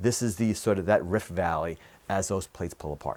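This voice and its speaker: Fairly low in pitch, a man talks at a fairly quick pace with lively intonation. The recording is very clean, with a silent background. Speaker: earth science teacher. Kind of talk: tutorial. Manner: hesitant with fillers.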